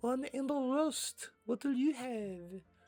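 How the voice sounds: This put-on character voice has a French accent, a fairly high pitch, and a fairly slow pace.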